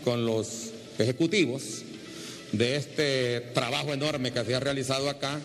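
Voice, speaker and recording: Light background noise is present as a man talks. His pace is fairly slow, and his pitch varies in an ordinary way. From Honduras, Comayagua; Honduras. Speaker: TV news reporter; TV host presenter. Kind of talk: on-location interview. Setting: on location at an airport. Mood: enthusiastic, grateful. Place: station. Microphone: handheld.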